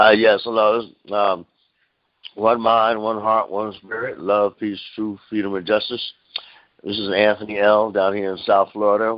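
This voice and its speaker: At a fairly slow pace, a man speaks in a fairly low voice with monotone, flat intonation. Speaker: caller. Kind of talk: casual chat. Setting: phone call. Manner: bouncy, cheerful.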